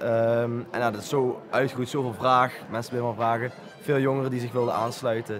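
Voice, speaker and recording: Amid noticeable background noise and audible room echo, a man talks at a moderate pace. His medium-pitched voice is monotone and flat. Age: 20s. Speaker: volunteer foundation co-founder. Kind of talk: interview. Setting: community centre. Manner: hesitant, many filler sounds.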